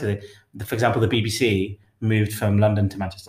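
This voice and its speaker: A man's medium-pitched voice with an East Midlands accent. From England, Derby (East Midlands). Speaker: podcast co-host. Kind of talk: casual chat.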